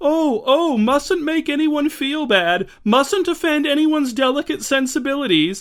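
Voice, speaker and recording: A high-pitched, put-on character voice. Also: moderate pace, hardly any pauses. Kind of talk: affected, prissy. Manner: silly, foppish, mocking.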